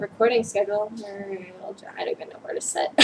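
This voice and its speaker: Over background music, a woman speaks at a moderate pace. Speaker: knitting podcast host. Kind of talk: casual vlog chat. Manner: hesitant with many fillers.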